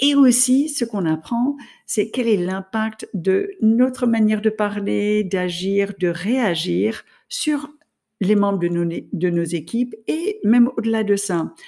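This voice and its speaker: Over a silent background on a very clean recording, a woman speaks with a non-native accent. Her tone is dark and mellow, her intonation lively, and her pace very slow. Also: fairly high pitch for a woman. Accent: noticeable foreign accent in French. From France and the US. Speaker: podcast host, leadership coach. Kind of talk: solo podcast monologue.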